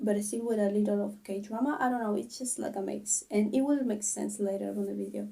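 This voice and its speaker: A woman with a non-native accent speaks at a fairly quick pace with hardly any pauses. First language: not English. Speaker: k-drama reviewer / youtuber. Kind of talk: casual video review. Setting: at home, sister outside the room. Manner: halting, self-correcting.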